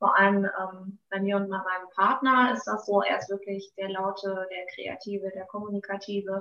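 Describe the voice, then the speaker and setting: Delivered at a moderate pace with hardly any pauses, the voice keeps a monotone, flat intonation. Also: woman, medium pitch for a woman. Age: 30s. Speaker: beautician. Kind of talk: interview. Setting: podcast interview.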